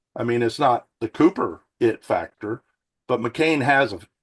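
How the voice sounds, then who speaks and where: In an American accent, a man with an unremarkable speaking voice talks at a fairly slow pace, medium in pitch with ordinary pitch variation, in a dry, close sound with no echo. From North Carolina. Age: 60s. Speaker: former college basketball player. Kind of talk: casual chat.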